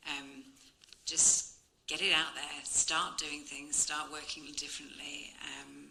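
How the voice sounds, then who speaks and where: With audible room echo and noticeable background noise, a woman speaks at a very slow pace in a very deep, low pitch and a monotone, flat intonation. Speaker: architect, panelist. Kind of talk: panel discussion. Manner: loud.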